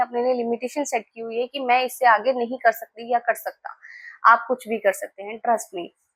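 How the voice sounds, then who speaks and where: High-pitched woman at a moderate pace, dry and close with no echo. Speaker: tarot reader. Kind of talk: tarot reading video. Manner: casual Hindi-English code-switching.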